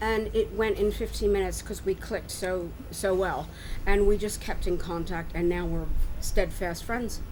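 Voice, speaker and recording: A woman with an American accent speaks at a moderate pace amid audible room echo. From US, Philadelphia area. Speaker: expat resident. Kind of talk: casual interview chat. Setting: outdoors at harbourside restaurant.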